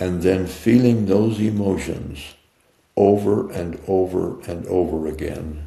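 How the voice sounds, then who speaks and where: A man speaks at a very slow pace in a very deep, low voice, somewhat breathy. His tone is dark and mellow, with ordinary pitch variation. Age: 80s+. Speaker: mindset coach and author. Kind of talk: interview answer.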